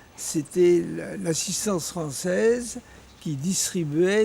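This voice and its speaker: Over noticeable background noise, a man talks at a very slow pace in a fairly high voice. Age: 90s. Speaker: former resistance member and activist. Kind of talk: interview. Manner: halting.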